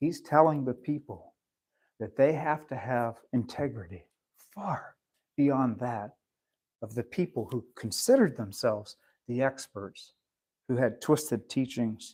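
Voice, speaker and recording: With long, frequent pauses, a man speaks at a fairly slow pace, using a medium pitch and ordinary pitch variation. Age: 60s. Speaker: pastor. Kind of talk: sermon.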